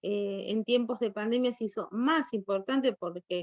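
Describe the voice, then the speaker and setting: In a dry, close sound with no echo, a woman with an unremarkable speaking voice talks at a fairly slow pace and a fairly high pitch with fairly even intonation. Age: 60s. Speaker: guest lecturer on poetry. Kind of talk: virtual conference Q&A.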